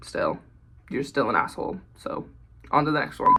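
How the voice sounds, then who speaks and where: A man is talking. Noticeable background noise runs under his voice. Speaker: content creator reading online posts. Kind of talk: casual reading and commentary.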